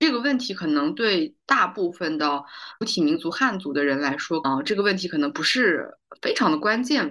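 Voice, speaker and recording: A woman speaks with very wide pitch swings. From China, Kazakh community. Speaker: podcast host, film industry worker. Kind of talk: casual interview chat. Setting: online call.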